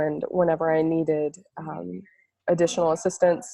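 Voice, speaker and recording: At a moderate pace, the woman talks in a plain, everyday voice. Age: 20s. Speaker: ayurveda student. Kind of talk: interview.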